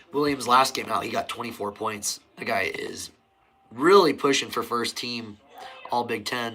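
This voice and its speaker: With a Midwestern US accent, a man speaks at a medium pitch. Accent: US Midwest. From Nebraska. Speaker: sports live streamer. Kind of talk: live game commentary. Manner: casual.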